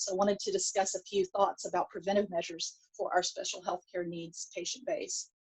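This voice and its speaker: A woman with a strong Texan accent talks at a fairly quick pace with hardly any pauses, in a dry, close sound with no echo. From Texas. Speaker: pediatric dentist, conference speaker. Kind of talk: lecture. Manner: hesitant, many fillers.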